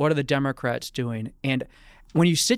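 With a plain, everyday voice, a man speaks in a fairly high pitch with ordinary pitch variation, recorded very cleanly against a silent background. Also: dry, close sound with no echo. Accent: American. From Pennsylvania (Bucks County, near Philadelphia). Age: 30s. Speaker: political journalist. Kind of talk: interview. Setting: studio.

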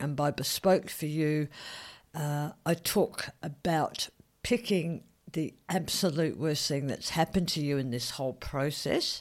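In a very clean recording with a silent background, a woman talks at a fairly slow pace in a very deep, low pitch with ordinary pitch variation. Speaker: podcast host, head and neck cancer survivor. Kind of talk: solo podcast talk. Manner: hesitant with frequent fillers.

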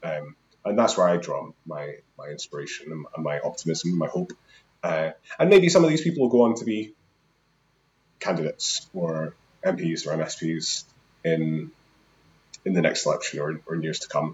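Speaking in a Scottish accent at a moderate pace, a man leaves long, frequent pauses and his loudness swings widely. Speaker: housing activist. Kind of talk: casual interview chat.

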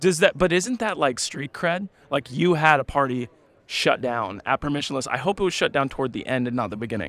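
Speaking at a fairly quick pace with lively intonation, the voice sounds animated and enthusiastic on a very clean recording with a silent background. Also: man, fairly high pitch for a man. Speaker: podcast host roaming a conference. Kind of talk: casual on-the-floor interviews. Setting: conference expo floor. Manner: animated, enthusiastic.

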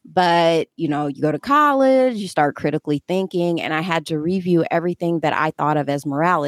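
A woman with an American accent speaks in a fairly low pitch with lively intonation, recorded very cleanly against a silent background with a dry, close sound and no echo. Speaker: panelist. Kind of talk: panel discussion, friendly debate.

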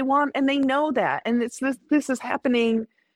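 With an American accent, a woman speaks at a high pitch and a moderate pace, her intonation fairly even. The sound is dry and close, with no echo. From US Midwest, Indiana. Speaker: comedian. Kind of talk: casual chat. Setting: in person live recording.

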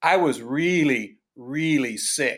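Captured on a very clean recording with a silent background, a man talks in a normal speaking voice at a fairly high pitch with ordinary pitch variation. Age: 60s. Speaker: stand-up comedian. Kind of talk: casual interview chat.

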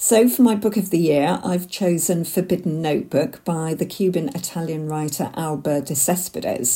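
A woman with an unremarkable speaking voice talks at a moderate pace with hardly any pauses. Her pitch is fairly low, with ordinary variation. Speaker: listener contributor. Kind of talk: recorded audio message.

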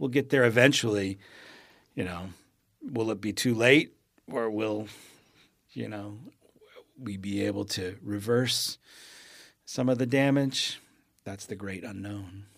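Fairly low-pitched male speech at a fairly slow pace, with ordinary pitch variation and long, frequent pauses. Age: 50s. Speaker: poet and writing teacher. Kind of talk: interview conversation. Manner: halting, many repeated words.

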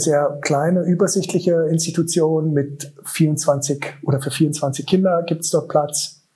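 Flat, monotone intonation, somewhat breathy. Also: man. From eastern Germany, Königs Wusterhausen near Berlin. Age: 40s. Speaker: special-education school director. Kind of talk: interview.

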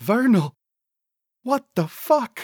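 Very slowly, a man puts on a character voice at a high pitch with big pitch swings, a slightly mellow tone and a slightly husky edge, in dry, close sound with no echo. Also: very clean recording, silent background.

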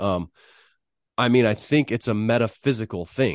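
An ordinary speaking voice from a man at medium pitch moves at a moderate pace with ordinary pitch variation, the sound dry and close with no echo over a quiet background. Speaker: podcast host and crime writer. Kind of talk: interview conversation.

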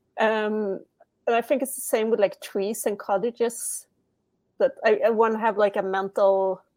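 With a Swedish accent, the speaker delivers a monotone, flat intonation at a moderate pace. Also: woman, fairly high pitch for a woman. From Sweden. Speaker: comic creator. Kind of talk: casual interview chat. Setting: video call, laptop microphone.

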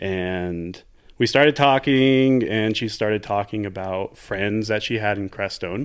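A plain, everyday voice from a man with an American accent, fairly low in pitch, at a fairly slow pace with ordinary pitch variation. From Texas, El Paso. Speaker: Antarctic station worker. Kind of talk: casual interview conversation. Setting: in person, host's home in Crestone.

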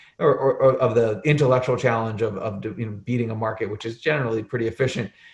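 With an American accent, a man speaks in a somewhat breathy, medium-pitched voice and fairly even intonation. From Arizona. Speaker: portfolio manager. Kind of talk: podcast interview.

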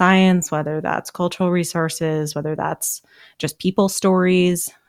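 On a very clean recording with a silent background, a woman with a normal speaking voice and an American accent talks at a moderate pace in a fairly low pitch with fairly even intonation. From US Pacific Northwest (Seattle). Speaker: park service science communicator, former geologist. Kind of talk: casual interview.

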